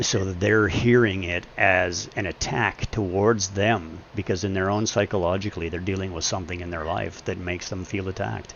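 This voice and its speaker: A man with a very deep, low pitch, an intense, angry tone, fairly even intonation and a moderate pace. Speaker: gaming live streamer. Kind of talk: casual chat. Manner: intense, comes across as angry.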